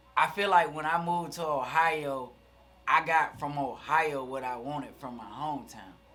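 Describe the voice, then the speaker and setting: A man with a Southern US accent speaks at a moderate pace in a fairly high pitch, with a bright, sharp tone, ordinary pitch variation, big swings in loudness and audible room echo. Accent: southern twang. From US South, Alabama (Fairfield, near Birmingham). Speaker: rapper. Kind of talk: casual chat.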